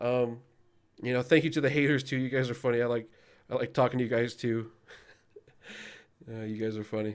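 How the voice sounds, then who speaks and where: The recording is very clean with a silent background. A man with a medium pitch and fairly even intonation talks at a fairly quick pace, yet with long, frequent pauses. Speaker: gaming YouTuber and raid leader. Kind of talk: casual video outro talk to viewers. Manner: fast; hesitant, many fillers.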